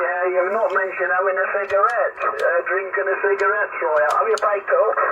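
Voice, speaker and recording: Noticeable background noise sits behind a man speaking at a fairly quick pace with very even loudness. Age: 80s+. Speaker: amateur radio operator. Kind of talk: amateur radio net chat. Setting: radio transmission. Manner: halting.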